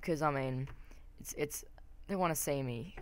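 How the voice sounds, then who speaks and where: Her pitch very deep and low, a woman talks at a fairly quick pace amid audible room echo. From Australia. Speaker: gaming commentator. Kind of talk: gameplay commentary. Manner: hesitant, many fillers.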